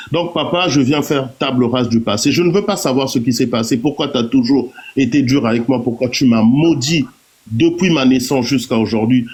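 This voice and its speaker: A man speaks at a medium pitch and a moderate pace, with ordinary pitch variation and very even loudness. Noticeable background noise is present. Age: 40s. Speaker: live-stream participant. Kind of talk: personal testimony.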